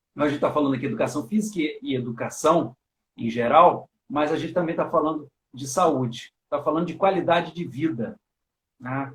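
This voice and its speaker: A man's moderately paced delivery in an ordinary speaking voice, fairly high-pitched, with ordinary variation in pitch. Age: 50s. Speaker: teacher and live stream host. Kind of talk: casual chat. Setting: online live stream.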